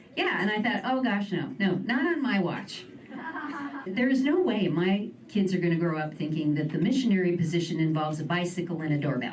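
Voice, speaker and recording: A woman with a fairly low pitch speaks in an American accent at a fairly quick pace. Her intonation is lively, with noticeable background noise. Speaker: stand-up comedian; writer in film and TV development. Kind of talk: live stand-up comedy set. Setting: live venue with audience.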